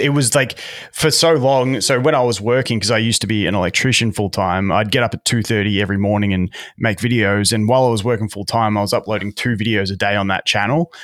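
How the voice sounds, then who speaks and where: A man speaks very fast with an Australian accent, his pitch fairly low. The recording is very clean, with a silent background. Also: ordinary pitch variation. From Melbourne, Australia. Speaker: YouTube content creator. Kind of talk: casual interview chat. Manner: fast talker, effusive.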